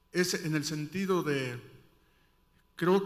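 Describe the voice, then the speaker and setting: Audible room echo surrounds a man whose fairly high pitch carries fairly even intonation. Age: 60s. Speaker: audience member asking a question. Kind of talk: audience question at a conference panel. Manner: halting, many fillers.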